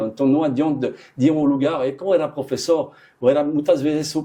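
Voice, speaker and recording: With a French accent, a man speaks at a moderate pace in a fairly high pitch, with a dark, mellow tone and ordinary pitch variation. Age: 60s. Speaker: chef. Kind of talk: interview. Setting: studio. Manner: halting, with repetitions and fillers.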